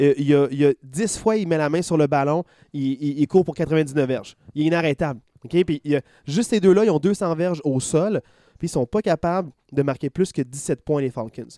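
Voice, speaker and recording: In a very clean recording with a silent background, a man speaks with a fairly high pitch, ordinary pitch variation and a dark, mellow tone. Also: moderate pace, dry, close sound with no echo. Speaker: podcast host. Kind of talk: casual chat.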